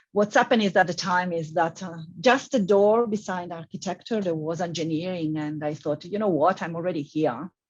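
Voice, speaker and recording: A woman with a strong Italian accent talks at a fairly quick pace, her pitch fairly low and her speech hardly pausing. The background is quiet. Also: ordinary pitch variation. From Italy. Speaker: civil engineering professor. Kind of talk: panel discussion.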